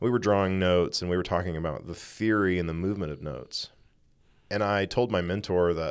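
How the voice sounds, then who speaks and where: Over a quiet background, a man with an American accent speaks very fast in a very deep, low voice. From East Texas. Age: 30s. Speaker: podcast cohost, music scholar; podcast cohost. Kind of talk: casual spiritual conversation. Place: studio. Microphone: studio mic.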